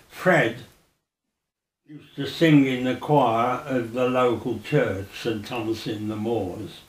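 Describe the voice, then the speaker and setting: In a room with audible echo, a man with a medium pitch speaks very slowly, with ordinary pitch variation and big swings in loudness. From Birmingham, Balsall Heath. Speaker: oral history interviewee. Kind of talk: oral history interview. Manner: halting.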